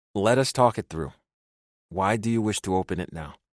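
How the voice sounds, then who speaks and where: A man's put-on character voice, fairly low in pitch, at a fairly quick pace, in a very clean recording with a silent background. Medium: read story. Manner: formal, no contractions.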